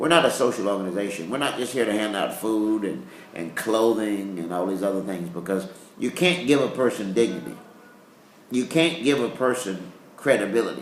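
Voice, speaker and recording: Over noticeable background noise and audible room echo, a man speaks fairly quickly in a fairly low pitch with lively intonation. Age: 60s. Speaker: pastor. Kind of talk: interview. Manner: halting.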